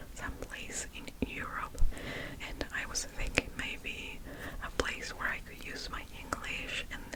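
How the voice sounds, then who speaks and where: The speaker whispers at a very slow pace. Noticeable background noise runs underneath. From Argentina. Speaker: ASMR creator. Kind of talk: ASMR whispered storytime. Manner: whispered, soft-spoken.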